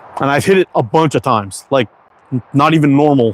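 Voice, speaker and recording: A man with an American accent at medium pitch, very fast pace and ordinary pitch variation, in a dry, close sound with no echo. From Quebec, Canada (anglophone). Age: 50s. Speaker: slingshot maker and livestreamer. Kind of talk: casual livestream chat. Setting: outdoors.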